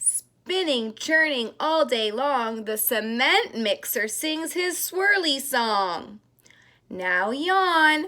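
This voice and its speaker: A woman talks at a very slow pace in a high, bright, sharp voice. Her pitch swings very widely. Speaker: daycare teacher. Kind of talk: reading aloud to children. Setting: at home. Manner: soft-spoken; gentle storytelling.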